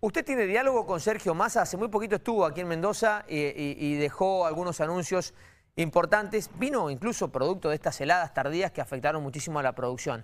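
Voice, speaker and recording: A man talks at a very fast pace. His voice is high and his intonation lively. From Argentina. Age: 40s. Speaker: TV interviewer. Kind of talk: interview. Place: studio.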